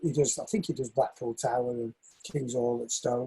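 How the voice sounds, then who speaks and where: A man with a northern English accent talks at a moderate pace in a dark, mellow, somewhat breathy tone. His intonation is fairly even, and the sound is dry and close with no echo. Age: 60s. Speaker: shoemaker and northern soul dancer. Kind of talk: interview.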